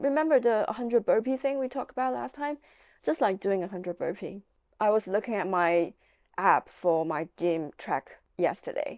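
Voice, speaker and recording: A woman with a non-native accent speaks at medium pitch and a moderate pace, her pitch swinging very widely, in a dry, close sound with no echo against a quiet background. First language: not English. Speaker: aspiring novelist and book vlogger. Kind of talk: casual vlog monologue.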